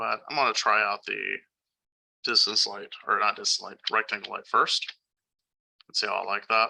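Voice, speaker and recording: A man speaks at a moderate pace, with big swings in loudness and long, frequent pauses. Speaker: 3D rendering instructor. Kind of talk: tutorial. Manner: casual with many fillers.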